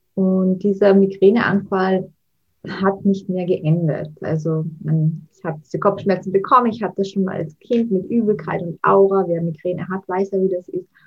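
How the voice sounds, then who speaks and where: A woman speaks at medium pitch with a slight Austrian accent and a somewhat breathy voice. Her intonation stays fairly even while her loudness swings widely. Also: moderate pace. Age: 30s. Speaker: mental coach and author. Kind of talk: interview.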